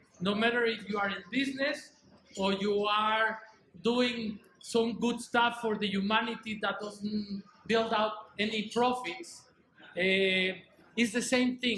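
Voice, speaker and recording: With a raised, projected voice, a man with a high pitch keeps fairly even intonation and long, frequent pauses over noticeable background noise. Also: fairly slow pace. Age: 60s. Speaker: conference speaker. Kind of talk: motivational speech. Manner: hesitant, with fillers.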